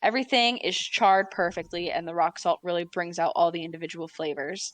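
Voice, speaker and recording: Against a quiet background, a woman with a fairly low pitch and an American accent talks at a fairly quick pace in a normal speaking voice, with ordinary pitch variation. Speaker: dungeon master. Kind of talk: tabletop roleplay narration. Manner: casual, with many fillers.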